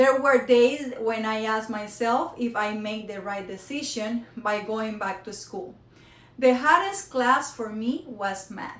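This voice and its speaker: Audible room echo surrounds a woman who talks at a fairly slow pace with ordinary pitch variation. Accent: Spanish. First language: Spanish. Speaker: college student. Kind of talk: prepared speech. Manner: halting.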